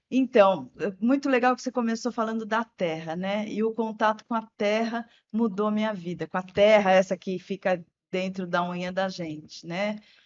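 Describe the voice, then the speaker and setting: Speaking at a moderate pace, a woman has a normal speaking voice at medium pitch with ordinary pitch variation. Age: 60s. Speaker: journalist and environmentalist. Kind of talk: interview podcast.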